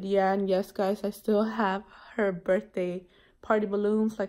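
A woman's dark, mellow, tired tone, with monotone, flat intonation at a moderate pace. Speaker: mom vlogger. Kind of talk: casual vlog chat. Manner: tired, sluggish sick voice. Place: home room. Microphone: phone near.

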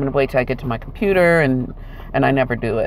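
Recorded dry with no echo, a woman's voice comes through light background noise. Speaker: vlogger. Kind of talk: casual vlog chat. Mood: apologetic, sincere. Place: car. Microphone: earbuds.

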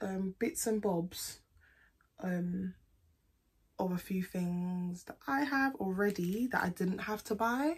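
A woman speaks with a British accent and a somewhat breathy voice. Her intonation is lively. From UK. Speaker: beauty vlogger. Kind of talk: casual product haul vlog. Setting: at home, recording to camera. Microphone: phone near.

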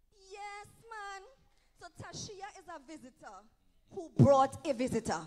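A woman with an extremely high voice speaks fairly slowly in an animated tone, with very wide pitch swings and big swings in loudness over light background noise. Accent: Trinidadian. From Trinidad. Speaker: evangelist preacher. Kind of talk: sermon. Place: church. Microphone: handheld.

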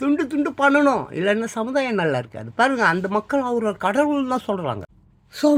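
This very clean recording with a silent background features a man speaking. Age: 60s. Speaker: news commentator. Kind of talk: newspaper headlines with commentary. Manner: animated.

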